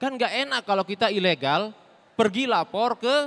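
A man's high voice, bright and sharp in tone, at a moderate pace with ordinary pitch variation. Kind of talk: stand-up comedy; stand-up comedy routine. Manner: storytelling, self-deprecating, theatrical. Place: stage. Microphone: handheld.

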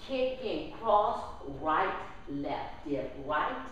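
A woman with a very deep, low voice speaks at a very slow pace. There's strong room echo and light background noise. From New Orleans, Louisiana. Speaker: line dance instructor. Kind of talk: dance class tutorial, step-by-step instruction with counted steps. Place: hall.

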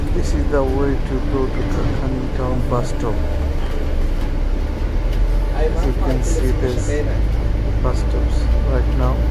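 A man talks over loud background noise. His speech is broken by long, frequent pauses. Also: fairly slow pace. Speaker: vlogger. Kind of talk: casual vlog commentary. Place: bus. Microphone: phone near.

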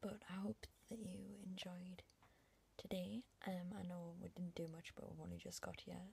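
A woman talks at a moderate pace with fairly low pitch. Her intonation is fairly even, with vocal fry.

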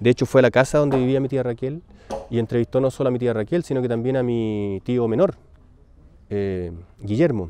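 With a Chilean accent and a dark, mellow tone, a man talks at a fairly quick pace with ordinary pitch variation, and the sound is dry and close with no echo. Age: 40s. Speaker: son of a disappeared detainee, artist. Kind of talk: personal testimony. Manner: halting, with many repetitions.

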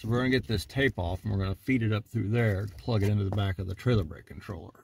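A man with a fairly low, somewhat breathy voice speaks at a very fast pace. His pitch varies in an ordinary way over light background noise. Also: dry sound with no echo. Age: 50s. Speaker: auto mechanic. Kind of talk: tutorial. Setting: in a car. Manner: casual. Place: car. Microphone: phone near.

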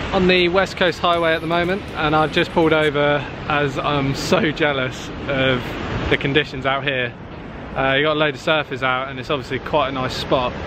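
In a dry recording with no echo, a man's fairly even intonation comes through over noticeable background noise. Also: moderate pace. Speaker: travel vlogger. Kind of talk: casual vlog chat. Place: beach. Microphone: phone near.

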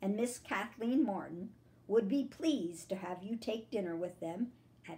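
This is an unforced reading voice. The words come out without strain.

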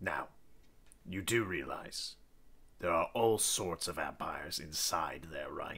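A man's raspy, put-on character voice at a fairly low pitch, with a fairly slow pace and long, frequent pauses. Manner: dry, polite, sardonic.

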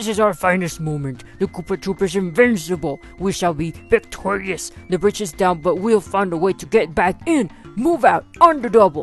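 With clear music in the background, a female-sounding voice does a put-on character voice at a moderate pace and a middle pitch. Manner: angry, commanding.

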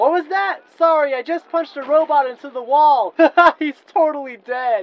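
A high-pitched, put-on character voice is used here. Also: moderate pace. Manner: brash, self-absorbed, fast.

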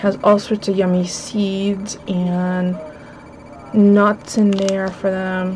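A woman speaks with monotone, flat intonation over noticeable background noise. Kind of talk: casual haul vlog chat. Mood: cheerful, amused. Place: home room. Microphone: webcam.

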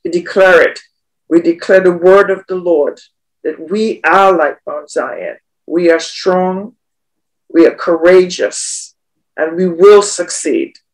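A woman talks at a very slow pace. She leaves long, frequent pauses. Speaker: prayer participant. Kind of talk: prayer and thanksgiving.

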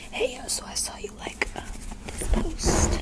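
Whispering at a fairly slow pace, a man is heard over loud background noise. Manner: casual hesitant whisper.

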